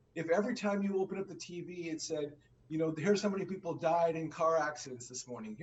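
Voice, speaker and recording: A man talks with a high pitch and ordinary pitch variation at a moderate pace. Noticeable background noise is present. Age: 60s. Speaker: finance show co-host. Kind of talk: conversational discussion.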